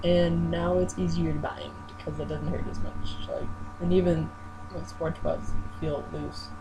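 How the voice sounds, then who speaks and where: A man speaks at a fairly slow pace. There is audible room echo and noticeable background noise. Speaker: vlogger. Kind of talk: video diary. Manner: halting.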